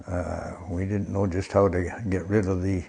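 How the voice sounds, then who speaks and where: Very deep and low, a man's somewhat breathy voice has a dark, mellow tone and monotone, flat intonation. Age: 80s+. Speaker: recycling volunteer. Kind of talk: interview answer. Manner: hesitant.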